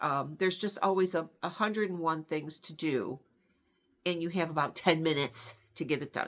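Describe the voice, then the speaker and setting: A woman speaks at a moderate pace in a plain, everyday voice, fairly low in pitch with ordinary pitch variation. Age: 60s. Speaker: stitching vlogger. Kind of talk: casual chat. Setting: home sun room.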